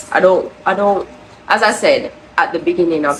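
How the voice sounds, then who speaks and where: Against noticeable background noise, a woman with a Jamaican accent talks at a fairly slow pace in a medium pitch. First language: Jamaican Patois. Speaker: crochet vlogger. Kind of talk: casual vlog talk.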